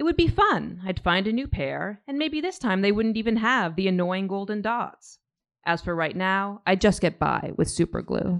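At a moderate pace, a woman with a normal speaking voice talks at medium pitch with ordinary pitch variation against a quiet background. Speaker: graphic memoirist. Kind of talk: reading aloud. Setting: stage with audience.

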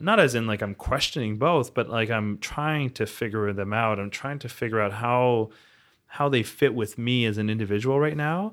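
At a moderate pace and medium pitch, a man talks in an unremarkable speaking voice whose pitch varies in an ordinary way. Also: very clean recording, silent background. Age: 30s. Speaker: portfolio manager. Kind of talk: casual chat.

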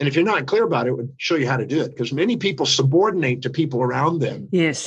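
A man's voice with vocal fry moves at a fairly quick pace with ordinary pitch variation. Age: 60s. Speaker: speaker and educator. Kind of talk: podcast interview.

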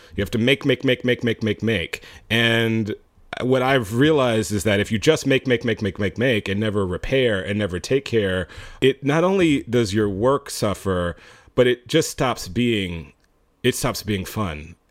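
Speaking at a moderate pace in a normal speaking voice, a man keeps a medium pitch with lively intonation. The sound is dry and close with no echo, in a very clean recording with a silent background. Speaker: filmmaker. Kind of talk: casual interview chat.

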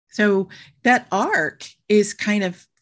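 A woman talks at medium pitch. The background is quiet. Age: 60s. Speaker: guest sharing abortion story. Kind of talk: personal testimony in casual interview.

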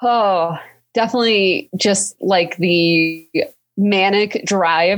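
A woman speaks in a normal speaking voice at a medium pitch. Her pitch variation is ordinary. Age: 30s. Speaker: lawyer and entrepreneur. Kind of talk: casual interview.

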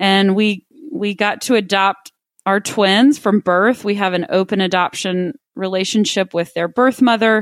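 With a Texan accent, a woman speaks at a fairly slow pace in a medium pitch with ordinary pitch variation, her voice dry and close with no echo on a very clean recording against a silent background. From Texas, Midland. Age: 30s. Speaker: wealth manager. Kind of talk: casual chat.

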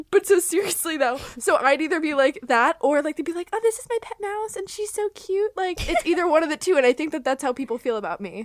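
A woman with an American accent and an extremely high pitch, very wide pitch swings, big swings in loudness, a very fast pace and hardly any pauses, in a dry, close sound with no echo. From Florida. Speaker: podcast host. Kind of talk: casual chat.

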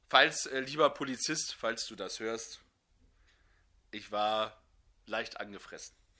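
A man at medium pitch with a bright, sharp tone, ordinary pitch variation, big swings in loudness, a very slow pace and long, frequent pauses. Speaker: podcast co-host. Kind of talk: casual chat. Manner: subdued.

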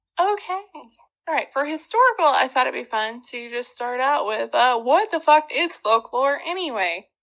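A woman in an Ozark accent, high in pitch with very wide pitch swings, at a moderate pace with hardly any pauses. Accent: Ozark Southern. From Ozarks, Arkansas. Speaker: podcast host. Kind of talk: casual storytelling chat. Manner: animated, humorous.

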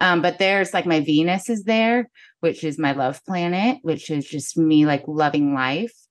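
In a Midwestern American accent, a woman speaks at a very deep, low pitch with ordinary pitch variation and a moderate pace against a quiet background. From US Midwest, northern Missouri. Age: 40s. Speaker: photographer and podcaster. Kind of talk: casual interview chat.

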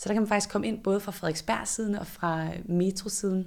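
A woman's medium-pitched voice at a moderate pace, monotone and flat in intonation, on a very clean recording with a silent background. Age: 30s. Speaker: director of a student innovation centre. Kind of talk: interview. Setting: on location in a building under renovation.

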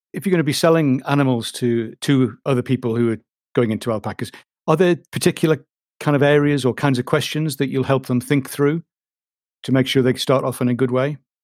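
A man with an unremarkable speaking voice talks at a fairly quick pace, at medium pitch with fairly even intonation. The sound is dry and close, with no echo. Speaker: podcast host. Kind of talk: casual interview chat.

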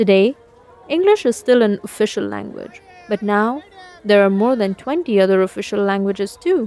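A woman talks moderately fast at a medium pitch, noticeable background noise behind her. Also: ordinary pitch variation. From India. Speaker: storyteller. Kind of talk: scripted narration.

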